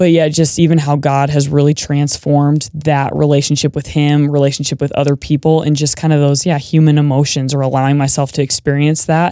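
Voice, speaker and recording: Speaking in a flat monotone with very even loudness and hardly any pauses, a woman with an American accent has a very deep, low pitch and a dark, mellow tone. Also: fairly quick pace. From Montana, small town near Bozeman. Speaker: emergency room nurse and podcaster. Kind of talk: casual interview conversation. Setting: studio.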